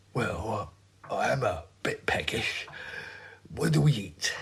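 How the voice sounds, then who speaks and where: Using a put-on character voice, a man speaks raspily at a fairly slow pace. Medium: audio drama. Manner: mild, baffled.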